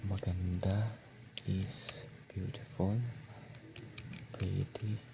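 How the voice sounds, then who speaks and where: A soft-spoken voice moves at a very slow pace. Noticeable background noise sits behind it. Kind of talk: ASMR soft-spoken talk.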